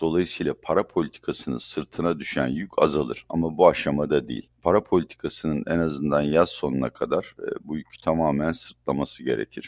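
A man with a very deep, low pitch and vocal fry talks at a fairly quick pace. His intonation is fairly even, and the sound is dry and close with no echo. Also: hardly any pauses. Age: 60s. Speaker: economist. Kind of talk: interview.

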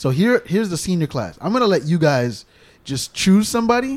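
With lively intonation, this is a normal speaking voice delivered at a moderate pace. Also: man. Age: 30s. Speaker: podcast host and comedian. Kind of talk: casual chat.

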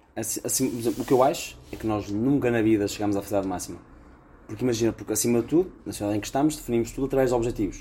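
A man speaks at a very fast pace in a dark, mellow, somewhat breathy tone. His pitch is medium, with ordinary pitch variation. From Braga, northern Portugal. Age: 20s. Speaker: podcast co-host. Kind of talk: casual chat. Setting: recording on the road in Chaves.

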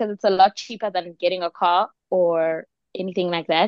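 A woman with a South African accent speaks in an animated tone. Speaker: podcast co-host. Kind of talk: casual chat. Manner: animated, laughs often.

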